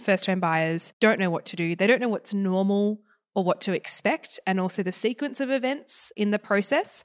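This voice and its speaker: A woman speaks with an Australian accent at a medium pitch and ordinary pitch variation. The recording is very clean, with a silent background and a dry, close sound with no echo. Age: 20s. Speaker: buyer's advocate. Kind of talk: interview.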